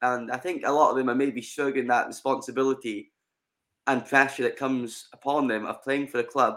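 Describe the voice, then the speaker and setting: A man with a medium-pitched voice and a Scottish accent. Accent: Scottish (Ayrshire). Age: 20s. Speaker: football fan podcast guest. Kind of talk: casual chat. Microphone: sound had been crackly, now better.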